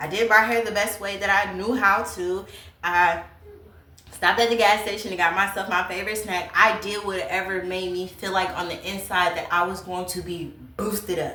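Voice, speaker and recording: A woman speaks at a medium pitch, with audible room echo and noticeable background noise. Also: moderate pace. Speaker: YouTuber, lifestyle vlogger. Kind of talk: casual advice talk to camera. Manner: loud; energetic.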